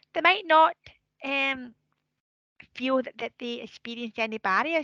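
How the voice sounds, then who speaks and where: A woman's raised, projected voice, high-pitched with a bright, sharp tone, lively intonation and big swings in loudness, at a fairly slow pace in a dry, close sound with no echo. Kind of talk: webinar presentation.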